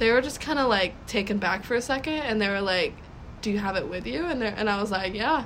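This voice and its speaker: A woman talks at a fairly quick pace in a fairly high pitch with lively intonation. Audible room echo is present. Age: 18 years old. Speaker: young author, college freshman. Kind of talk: casual interview. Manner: halting, filler-heavy.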